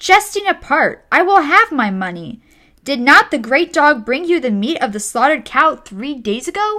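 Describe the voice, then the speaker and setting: Putting on a character voice, a woman projects loudly at a high pitch with very wide pitch swings, keeping a moderate pace. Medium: read story. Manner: blustering.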